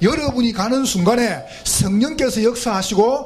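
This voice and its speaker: With a strong Gyeongsang accent and an animated tone, the speech runs at a fairly slow pace with ordinary pitch variation, audible room echo and noticeable background noise. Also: man. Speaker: pastor. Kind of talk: sermon. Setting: church retreat with congregation.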